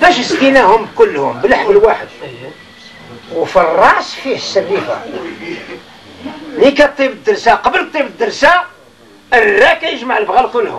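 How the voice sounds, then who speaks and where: A man with a Moroccan accent speaks at an extremely high pitch with very wide pitch swings and a moderate pace. He leaves long, frequent pauses, and noticeable background noise is present. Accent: Moroccan Arabic (Darija). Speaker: religious teacher. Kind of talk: informal religious lesson to a seated group.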